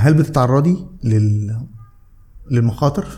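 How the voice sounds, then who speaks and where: Over noticeable background noise, a man speaks with an Egyptian accent. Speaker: podcast host, website founder. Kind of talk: interview.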